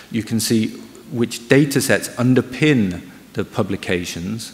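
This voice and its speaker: Talking at a very slow speed, a man lets his pitch shift in a normal way. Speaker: research project manager. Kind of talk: conference presentation. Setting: stage with audience. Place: hall.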